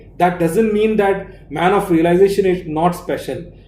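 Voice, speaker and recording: A man's high-pitched voice in a dark, mellow tone, with ordinary pitch variation and audible room echo. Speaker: spiritual teacher. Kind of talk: lecture. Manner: slow; halting.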